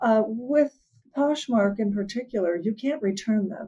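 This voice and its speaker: Speaking at a moderate pace, a woman has a fairly high pitch with ordinary variation and a dark, mellow tone. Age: 60s. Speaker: fashion vlogger. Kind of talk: casual chat. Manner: animated.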